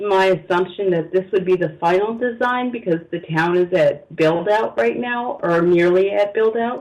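A man speaks at a fairly slow pace, his pitch high for a man with ordinary variation and his tone slightly mellow.

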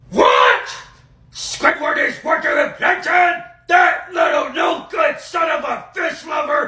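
Shouting in a cartoonish character voice, a man reaches an extremely high pitch at a fairly slow pace. A slight echo is audible. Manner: angry, shouting.

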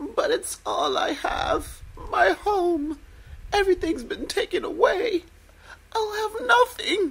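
Using a cartoonish character voice, a woman speaks at an extremely high pitch with lively intonation. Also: fairly slow pace.

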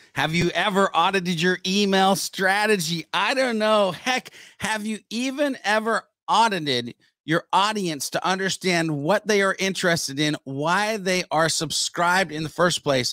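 A man speaks at a fairly slow pace with a high pitch, ordinary pitch variation, a bright, sharp tone, and a dry, close sound with no echo.

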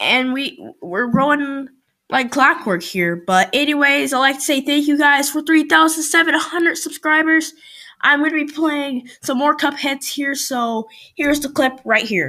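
In a very clean recording with a silent background, a woman speaks at a fairly slow pace in a raised, projected voice. Her tone is bright and sharp, her pitch high, with ordinary pitch variation. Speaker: gaming YouTuber. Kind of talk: gameplay commentary. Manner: animated; loud.

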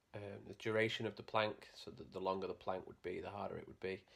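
The intonation is monotone and flat. The voice belongs to a man and sits fairly low in pitch. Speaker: fitness vlogger. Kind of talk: casual vlog chat, tutorial. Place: home room. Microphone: phone near.

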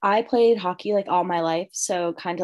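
A woman's fairly low voice, a plain, everyday voice, at a moderate pace against a quiet background. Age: 20s. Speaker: college student; panelist. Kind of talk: live Q&A chat. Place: home room. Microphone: video call.

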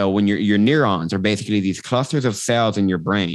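Energetic, fairly low male voice at a fairly quick pace, with ordinary pitch variation, a dry sound with no echo and a quiet background. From Texas, Austin; Texas. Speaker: transformational coach; podcast guest, coach. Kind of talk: casual interview chat; guided meditation, coach walking listener through eye-flutter theta induction. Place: home room. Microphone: video call.

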